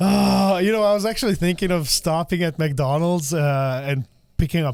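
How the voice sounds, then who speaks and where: Speaking with an Eastern European accent, a man with a high voice keeps a moderate pace and ordinary pitch variation. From Slovakia. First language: Slovak. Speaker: podcast host. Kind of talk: casual chat. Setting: studio.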